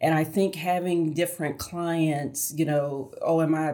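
Over noticeable background noise, a woman speaks at a moderate pace with a very deep, low pitch and monotone, flat intonation. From US South, Augusta, Georgia. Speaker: arts nonprofit executive. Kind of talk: interview.

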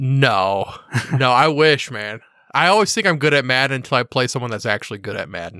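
Speaking with an American accent, a man has a bright, sharp tone at a medium pitch. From Missouri, US Midwest (Kansas City, St. Louis). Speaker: sports betting podcaster. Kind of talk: casual interview chat.

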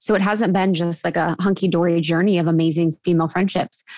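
A woman with an American accent talks in a normal speaking voice at a moderate pace. Her pitch is fairly low and her intonation fairly even. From US Midwest (Ohio). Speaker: podcast co-host, guest. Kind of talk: casual interview.

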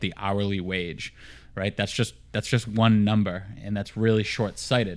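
A man with a Boston accent speaks at a moderate pace and a fairly low pitch. The recording is very clean, with a silent background. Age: 30s. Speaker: podcast host. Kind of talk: casual interview chat. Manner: energetic, motivational.

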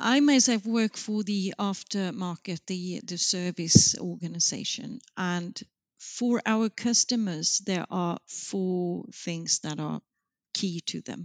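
Speaking very slowly with a Swedish accent, a woman with a medium pitch and ordinary pitch variation is heard in a very clean, dry, close recording with no echo and a silent background. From Sweden, Gothenburg. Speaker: marketing executive. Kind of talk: interview. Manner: hesitant with fillers.

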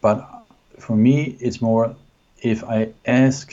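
The speaker is a man whose pitch is fairly low. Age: 50s. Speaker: podcast co-host. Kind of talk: casual chat. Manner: halting, with fillers and repeats.

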